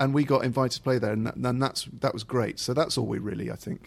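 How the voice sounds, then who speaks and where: Vocal fry in a man's medium-pitched voice, with ordinary pitch variation. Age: 30s. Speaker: comedian and radio presenter. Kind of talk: casual chat.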